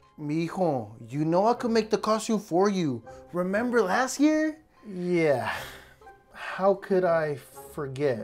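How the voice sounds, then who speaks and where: Over faint music in the background, a man with a high pitch speaks at a very slow pace with long, frequent pauses. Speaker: comedy sketch creator. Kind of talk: comedic sketch acting and narration. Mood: exasperated comedic complaining. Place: home room.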